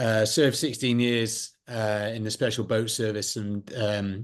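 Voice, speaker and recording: Here a man speaks with a British accent. His medium pitch holds a fairly even intonation. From United Kingdom. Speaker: former special forces soldier and security consultant. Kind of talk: interview.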